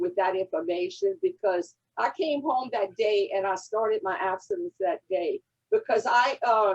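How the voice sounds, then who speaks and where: A woman with a Louisiana accent speaks at a fairly high pitch, her voice swinging very widely in pitch, recorded dry and close with no echo. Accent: Cajun Southern drawl. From Louisiana Cajun country. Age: 80s+. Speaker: recovery fellowship member. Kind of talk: testimony. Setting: convention session.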